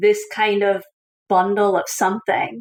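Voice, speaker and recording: A woman speaks in a Scottish accent at medium pitch. Her pace is moderate. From Scotland. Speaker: author and coach. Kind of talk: interview. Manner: animated.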